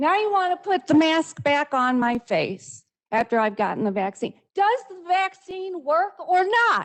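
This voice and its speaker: A woman talks at a fairly slow pace, her extremely high voice making very wide pitch swings. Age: 60s. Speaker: public commenter. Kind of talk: public comment at council meeting. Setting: council meeting.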